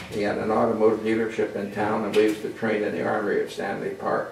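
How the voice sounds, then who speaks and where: Very fast speech from a man, amid audible room echo and noticeable background noise. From western Canada (Vancouver area, Alberta). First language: French. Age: 80s+. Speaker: radio pioneer. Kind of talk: storytelling talk to an audience. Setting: museum talk with audience. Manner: halting, with repetitions.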